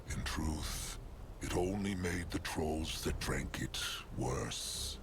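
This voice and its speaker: Over loud background noise, a man performs a put-on character voice at a very slow pace. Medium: video game. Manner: formal, speaks in third person.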